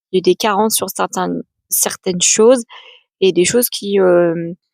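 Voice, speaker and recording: A woman's medium-pitched voice with fairly even intonation, in a dry, close sound with no echo. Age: 30s. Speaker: adoptee and author giving talks. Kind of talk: personal testimony vlog. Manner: hesitant, many fillers.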